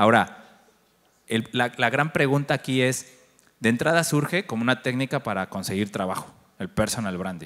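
Against a quiet background, a man speaks at a moderate pace and medium pitch with lively intonation. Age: 40s. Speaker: agency director and conference speaker; conference speaker. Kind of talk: conference talk. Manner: conversational, interacts with audience. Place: stage. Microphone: handheld.

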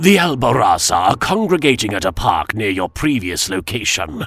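A man performs a put-on character voice with very wide pitch swings. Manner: cold, commanding.

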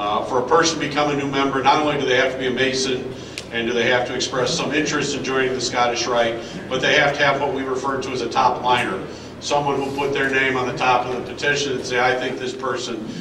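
A man talks at a very fast pace in a monotone, flat intonation. There is noticeable background noise. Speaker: presenter. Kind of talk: formal ceremony address. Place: hall. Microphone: camera far.

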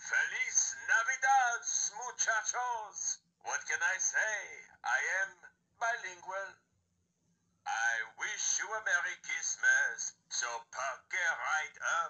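In a put-on character voice, a man speaks at a very slow pace with long, frequent pauses. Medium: talking toy. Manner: playful, flirtatious.

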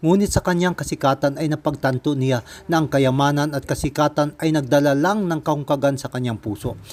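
Speaking at a fairly quick pace, a man with an unremarkable speaking voice uses a fairly high pitch and ordinary pitch variation. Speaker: religious video narrator. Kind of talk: scripted narration.

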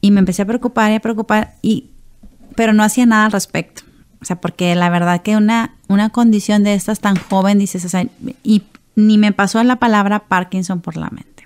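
Keeping her intonation fairly even, a woman talks at a moderate pace. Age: 40s. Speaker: Parkinson's patient and businesswoman. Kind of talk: testimony. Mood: personal, reflective testimony. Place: studio. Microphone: studio mic.

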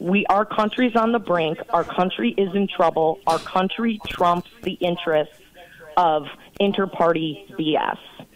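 A woman's voice with very even loudness and ordinary pitch variation, over noticeable background noise. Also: fairly low pitch for a woman, fairly slow pace. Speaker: political party official. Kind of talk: political talk radio interview. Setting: phone call. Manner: animated.

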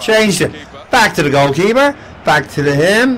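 Against noticeable background noise, a man with an Irish accent talks at a moderate pace, his pitch swinging very widely. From Ireland. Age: 70s. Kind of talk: casual commentary while playing a video game. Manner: excitable, frequently shouting.

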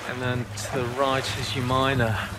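A man speaks at a medium pitch and a moderate pace, with little pitch movement. Clear background noise can be heard.

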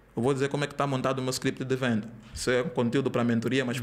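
Talking very fast, a man keeps a medium pitch in a flat monotone. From Angola. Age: 20s. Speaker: digital marketing entrepreneur; podcast guest. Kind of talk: podcast interview. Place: studio. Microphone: studio mic.

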